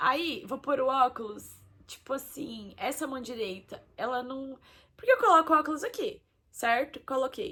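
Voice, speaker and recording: The tone is bright and sharp. Delivery is fairly slow, with lively intonation. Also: woman. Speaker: vlogger. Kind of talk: personal testimony. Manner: casual.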